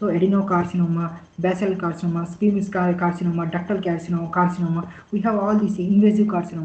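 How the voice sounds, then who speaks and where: With an Indian accent, a man speaks at a very fast pace in a high voice, with hardly any pauses and monotone, flat intonation. Noticeable background noise and audible room echo fill the recording. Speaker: clinical data specialist. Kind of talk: lecture. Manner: halting.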